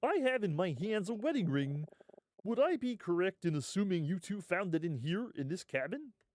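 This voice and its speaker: In a put-on character voice, a man speaks at a high pitch with very wide pitch swings and a moderate pace. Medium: game stream. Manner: measured, authoritative.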